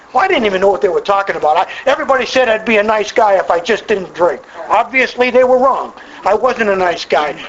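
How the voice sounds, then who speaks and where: A man's high-pitched voice, animated in tone, with lively intonation, a very fast pace and very even loudness over noticeable background noise. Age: 60s. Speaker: AA speaker. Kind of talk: testimony.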